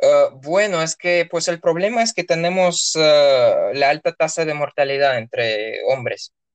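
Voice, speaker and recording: The speaker talks with a Russian accent at a fairly slow pace, with hardly any pauses. The sound is dry and close, with no echo. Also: man. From Russia, Orenburg. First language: Russian (speaking Spanish). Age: 20s. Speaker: university student. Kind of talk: interview. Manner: hesitant, many fillers.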